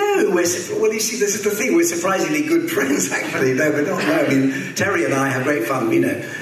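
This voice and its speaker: A man talks at a fairly quick pace with hardly any pauses, his pitch high. Room echo is audible, and background noise is noticeable. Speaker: actor. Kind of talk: interview on stage. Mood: relaxed, amused. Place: hall.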